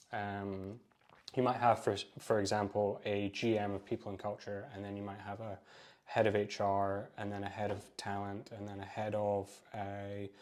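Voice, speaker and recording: This man has a Scottish accent and a fairly low pitch. He talks at a moderate pace with flat, monotone intonation and big swings in loudness. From Scotland. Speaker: recruiter. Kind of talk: podcast interview.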